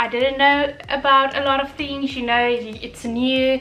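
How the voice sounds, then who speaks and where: A woman speaks in a raised, projected voice at a high pitch. Her intonation stays monotone and flat. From South Africa, Durban. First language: Afrikaans. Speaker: vlogger, chartered accountant. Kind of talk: casual vlog talk. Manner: unscripted, filler-heavy.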